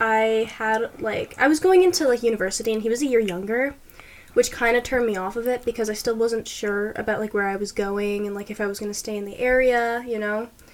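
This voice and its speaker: Ordinary pitch variation at a moderate pace, in a plain, everyday voice. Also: woman. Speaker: podcast co-host, university student. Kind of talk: casual chat.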